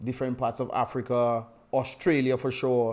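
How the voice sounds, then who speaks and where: The recording is very clean with a silent background, and the man's voice sits at a medium pitch. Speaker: livestream host and political commentator. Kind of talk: live stream chat. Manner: fast.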